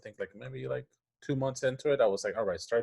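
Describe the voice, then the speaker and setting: The man has a Spanish accent. His sound is close and dry, with no echo. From Puerto Rico. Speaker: animation story artist and improviser. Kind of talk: interview conversation. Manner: halting, many restarts and fillers.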